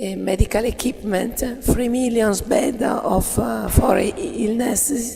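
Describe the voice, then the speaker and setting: Noticeable background noise and audible room echo surround a woman whose fairly high voice shows ordinary pitch variation. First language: Italian. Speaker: cooperative manager. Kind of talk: conference presentation. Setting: workshop with audience. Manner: halting, many fillers.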